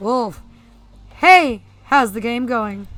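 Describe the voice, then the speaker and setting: A female-sounding, fairly high put-on character voice is heard, with faint music in the background. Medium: game stream.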